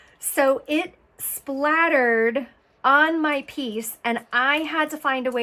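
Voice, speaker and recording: A woman's bright, sharp voice with ordinary pitch variation, on a very clean recording with a silent background. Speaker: art tutorial creator. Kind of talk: tutorial. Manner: casual, chatty.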